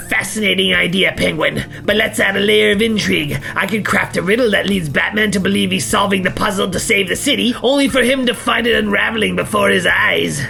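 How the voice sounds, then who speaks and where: Cartoonish character voice from a man at a fairly quick pace, clear music in the background. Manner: smug, self-satisfied.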